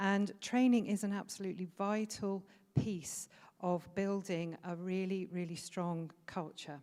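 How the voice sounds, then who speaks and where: A woman with a British accent and a dark, mellow tone, medium in pitch, fairly slow, with fairly even intonation. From Britain. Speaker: food safety trainer. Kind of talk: conference presentation. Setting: conference stage with audience. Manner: hesitant with frequent fillers.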